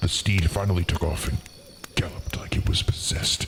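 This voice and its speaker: A man speaks with fairly even intonation. Background noise is clearly audible. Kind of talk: spooky fireside storytelling. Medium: virtual streamer. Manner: courteous, theatrical.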